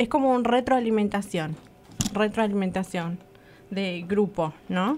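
A woman speaks at a medium pitch with ordinary pitch variation. Her pace is fairly slow, with an Argentine accent. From Argentina. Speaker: radio co-host. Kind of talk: casual chat.

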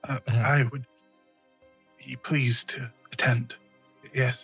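A man does a raspy put-on character voice at a medium pitch. He talks at a very slow pace with faint music in the background. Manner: measured, inquisitive.

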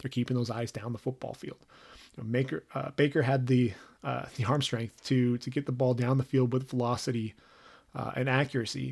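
Recorded very cleanly against a silent background, a man with a plain, everyday voice talks fairly quickly at medium pitch. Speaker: football draft analyst podcast host. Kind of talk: solo podcast monologue. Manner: many fillers and repetitions.

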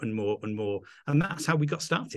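Talking at a fairly quick pace, a man with an English accent uses ordinary pitch variation. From England. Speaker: vacation rental host and eco business owner. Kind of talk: casual interview chat. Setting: video call.

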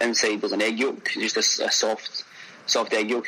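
The speaker has a Glaswegian accent. Noticeable background noise can be heard. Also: man. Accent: Glaswegian Scottish. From Scotland, Glasgow. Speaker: chef. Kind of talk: casual interview.

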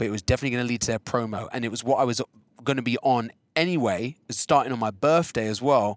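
Talking at a very fast pace with an English accent, a man comes through with a dry, close sound with no echo on a very clean recording with a silent background. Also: medium pitch for a man, ordinary pitch variation. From England. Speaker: choreographer and creative director. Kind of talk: casual chat. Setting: in a car.

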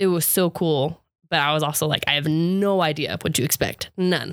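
A normal speaking voice from a woman, fairly low in pitch, at a moderate pace, with ordinary pitch variation. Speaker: returned missionary. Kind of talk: casual chat.

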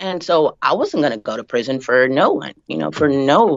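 The pace of this woman's speech is fairly quick. Its pitch shifts in an ordinary way. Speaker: guest, wife of interviewee. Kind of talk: casual interview.

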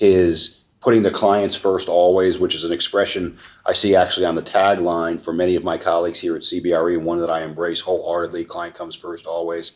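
A man's very deep, low voice at a fairly quick pace with hardly any pauses and monotone, flat intonation. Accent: American. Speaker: real estate research executive. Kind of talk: interview.

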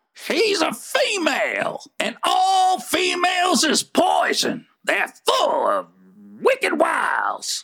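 Gruff and very slow, the speaker delivers lines in a put-on character voice. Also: man, extremely high pitch for a man. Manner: gruff, irritable, snapping.

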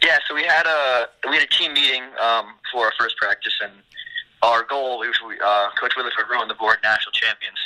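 A man speaks with ordinary pitch variation. Noticeable noise sits in the background. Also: medium pitch for a man, moderate pace. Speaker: college lacrosse player. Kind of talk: interview. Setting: outdoors.

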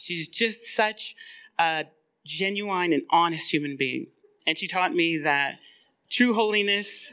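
A woman talks at a very slow pace with long, frequent pauses and lively intonation. Her tone is bright and sharp on a very clean recording with a silent background. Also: medium pitch for a woman. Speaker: church member and writing group leader. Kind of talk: introductory speech at live event. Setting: stage with audience at church event.

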